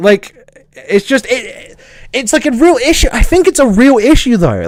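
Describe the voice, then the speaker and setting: In a southern English accent, the speaker takes a fairly slow pace with an animated tone and very wide pitch swings. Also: man. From southern England. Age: 20s. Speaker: streamer. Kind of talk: casual chat. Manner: halting.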